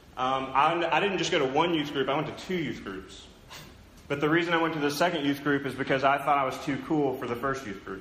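Amid noticeable background noise and audible room echo, a man with an American accent talks fairly quickly at a fairly high pitch. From southern Oklahoma, US. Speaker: pastor. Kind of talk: sermon. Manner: conversational with frequent fillers.

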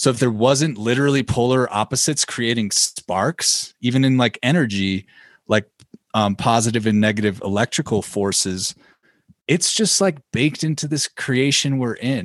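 A man with an American accent and a plain, everyday voice speaks at medium pitch with ordinary pitch variation, a moderate pace and very even loudness, in a dry, close sound with no echo against a quiet background. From Illinois. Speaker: podcast host and musician. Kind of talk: casual chat.

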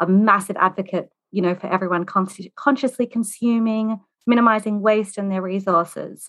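With an Australian accent, a woman speaks at medium pitch in a bright, sharp tone. Her pace is fairly quick. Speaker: home organizer. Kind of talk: casual interview. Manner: animated.

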